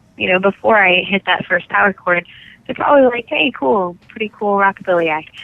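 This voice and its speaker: Speaking at a fairly quick pace with an American accent, a woman uses a normal speaking voice at medium pitch and lively intonation. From California. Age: 20s. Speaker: rock singer and guitarist. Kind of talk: interview answer.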